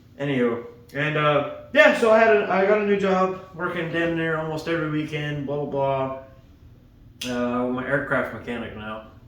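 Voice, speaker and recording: Audible room echo surrounds a man whose voice sits at a fairly high pitch. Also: lively intonation. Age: 20s. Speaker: aircraft mechanic and hobby vlogger. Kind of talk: casual vlog while working. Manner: fast; quiet.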